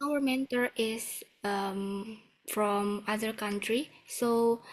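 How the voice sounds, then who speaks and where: A woman speaks very slowly with a strong Indonesian accent. Her pitch sits fairly high, and her intonation stays fairly even. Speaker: webinar host. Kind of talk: online webinar Q&A.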